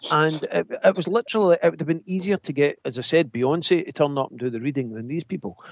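With a Scottish accent, a man talks at a very fast pace in a fairly high pitch, his animated, enthusiastic tone marked by big swings in loudness. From Scotland. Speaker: spiritualist medium. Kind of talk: casual chat.

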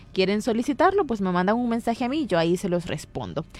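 Over music in the background, a woman of medium pitch speaks with lively intonation. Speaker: radio host.

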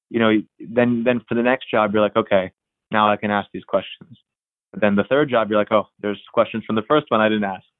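The speaker has an unremarkable speaking voice with an American accent. Intonation is fairly even and the pace fairly quick. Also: man, fairly low pitch for a man. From Pennsylvania, Erie; teen years in Florida. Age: 30s. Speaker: college tennis coach. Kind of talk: interview.

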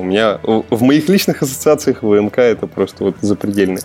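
A man speaks with music playing in the background. His pitch sits fairly low. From Udmurtia, Russia (Glazov). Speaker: senior game programmer. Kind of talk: podcast interview. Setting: remote call.

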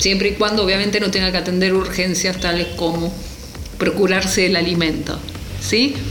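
Amid audible room echo and noticeable background noise, a woman speaks at a medium pitch and moderate pace with fairly even intonation. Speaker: radio columnist. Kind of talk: spoken commentary monologue. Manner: fluent.

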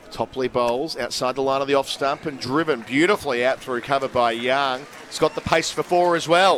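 Using a plain, everyday voice, a man speaks fairly quickly at a fairly high pitch, with ordinary pitch variation and hardly any pauses. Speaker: cricket commentator. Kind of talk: live ball-by-ball cricket commentary. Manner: brisk, measured play-by-play delivery.

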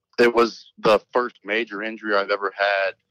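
A man speaks at a moderate pace with fairly even intonation in an ordinary speaking voice. The sound is dry and close, with no echo. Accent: American. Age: 20s. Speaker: college football player, draft prospect. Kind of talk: interview.

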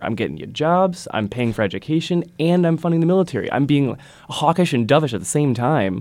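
On a very clean recording with a silent background, a man with an Upper Midwest accent uses a fairly high pitch, a dark, mellow tone and very wide pitch swings. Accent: Upper Midwest American. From Wisconsin. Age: 20s. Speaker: university student, writer. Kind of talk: casual interview discussion. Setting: studio.

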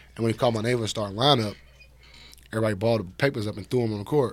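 Speaking very fast with an American accent, a man keeps a medium pitch and fairly even intonation. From Chicago. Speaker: former college basketball player. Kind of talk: casual interview.

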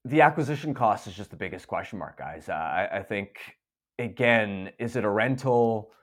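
A man speaks in a normal speaking voice at a medium pitch and a moderate pace, with lively intonation. The recording is very clean, with a silent background. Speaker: hockey journalist. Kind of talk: casual interview.

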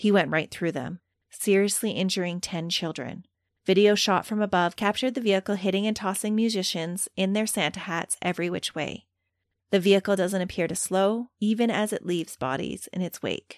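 A woman talks at a fairly quick pace in a plain, everyday voice. The recording is very clean with a silent background and a dry, close sound with no echo. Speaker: true crime podcast host. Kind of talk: dramatic narration of crime case. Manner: conversational and warm.

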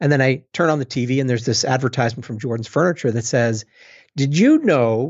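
A man with a normal speaking voice talks at a fairly quick pace. His pitch is fairly high, and his intonation is lively. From Boston, US. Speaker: innovation consultant and author. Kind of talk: interview.

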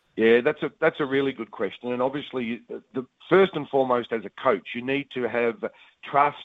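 An Australian-accented man at a medium pitch, with ordinary pitch variation. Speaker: cricket coach and commentator. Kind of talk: interview. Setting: phone call.

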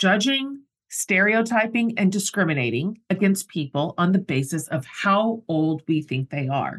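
Against a quiet background, a woman talks at a medium pitch with very wide pitch swings, her voice somewhat breathy. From US. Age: 50s. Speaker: podcast host. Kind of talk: casual interview chat; scripted intro.

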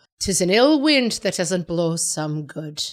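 In a put-on character voice with an Irish accent, a woman speaks at medium pitch with very wide pitch swings. The recording is very clean, with a silent background. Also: fairly slow pace.

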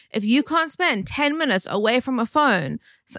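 Bright, sharp tone with very wide pitch swings, dry and close sound with no echo, and a very clean recording over a silent background. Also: woman. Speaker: stand-up comedian. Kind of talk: casual chat. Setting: at home.

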